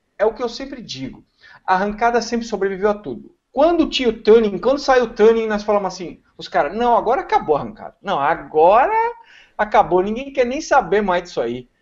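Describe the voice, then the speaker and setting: Against a quiet background, a man speaks at a fairly quick pace with lively intonation and big swings in loudness. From Brazil. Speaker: car tuning specialist; talk show guest. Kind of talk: casual chat. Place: home room. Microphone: video call.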